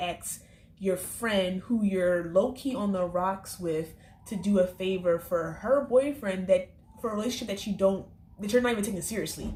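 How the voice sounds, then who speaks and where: Somewhat breathy and medium in pitch, a woman talks at a moderate pace with ordinary pitch variation. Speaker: TV episode reviewer. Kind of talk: casual review vlog.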